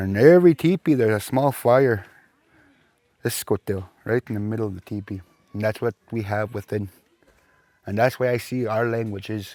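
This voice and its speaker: A man talks at a moderate pace in a fairly low pitch, with a dark, mellow tone and ordinary pitch variation. Long, frequent pauses break up the speech, and the sound is dry and close with no echo. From Saskatchewan First Nations reserve, Canada. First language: Plains Cree. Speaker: Cree language and culture teacher. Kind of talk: interview.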